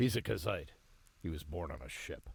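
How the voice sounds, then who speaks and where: In a put-on character voice, a man speaks with a very deep, low pitch and a raspy sound. His pace is moderate. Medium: video game. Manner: warm, calm.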